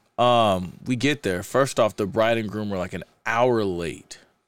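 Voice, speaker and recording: Using an ordinary speaking voice, a man with an American accent speaks at a fairly slow pace and medium pitch with ordinary pitch variation. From US Midwest, Kansas City and Saint Louis, Missouri. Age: 30s. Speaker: DJ. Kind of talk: casual chat.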